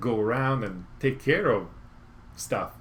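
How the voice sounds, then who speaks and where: Speaking at a fairly slow pace with an Italian accent, a man sounds somewhat breathy against audible room echo. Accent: Italian accent, noticeable. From Italy, Rome. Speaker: motorcycle YouTuber. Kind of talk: live stream Q&A chat. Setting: home garage. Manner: halting, many fillers.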